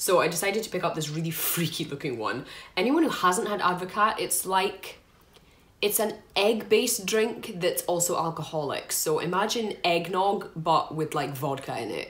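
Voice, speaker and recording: A woman with a Scottish accent and lively intonation. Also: medium pitch for a woman, moderate pace. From Scotland. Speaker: food reviewer. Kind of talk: casual talk to camera. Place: home room. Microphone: phone near.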